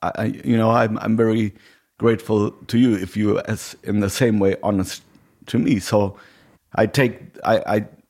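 In a very clean recording with a silent background, a man of medium pitch talks at a moderate pace. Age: 40s. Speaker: podcast host and musician. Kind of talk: casual chat. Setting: home.

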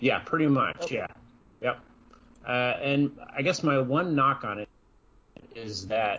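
In an unremarkable speaking voice, a man with an American accent talks at a fairly slow pace with lively intonation. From Iowa. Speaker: podcast co-host. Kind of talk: casual chat.

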